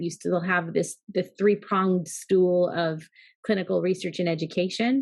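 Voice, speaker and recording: A woman's normal speaking voice at medium pitch and a moderate pace, over a quiet background. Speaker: pharmacy business executive. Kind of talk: interview.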